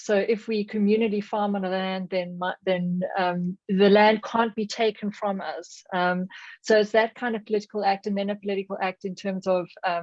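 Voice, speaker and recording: Monotone, flat intonation marks a woman speaking in a South African accent. Her pace is moderate. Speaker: audience participant in academic webinar. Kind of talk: discussion question. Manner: halting, many fillers and restarts.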